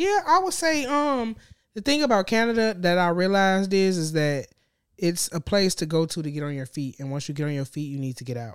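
Talking fairly quickly, a woman uses an American accent. Her pitch swings very widely. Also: medium pitch for a woman, very clean recording, silent background. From Gary, Indiana. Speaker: guest, food influencer. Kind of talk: casual chat. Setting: studio.

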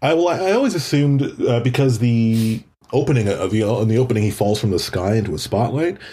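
At a fairly quick pace, a man with a Canadian accent speaks at medium pitch with lively intonation, a somewhat breathy, dark, mellow tone, and very even loudness, on a very clean recording with a silent background. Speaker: actor and writer. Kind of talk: casual chat.

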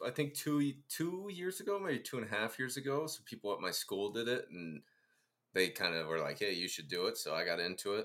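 A man with an American accent talks at a fairly quick pace in a medium pitch. His tone is animated, and his pitch swings very widely. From Ohio, US Midwest. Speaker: podcast host and teacher. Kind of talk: casual chat. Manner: animated, joking.

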